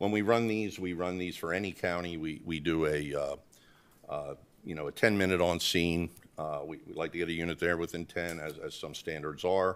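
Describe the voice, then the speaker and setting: A man with a very deep, low pitch talks at a moderate pace with fairly even intonation. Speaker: presenter. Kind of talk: presentation to board. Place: meeting room. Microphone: podium.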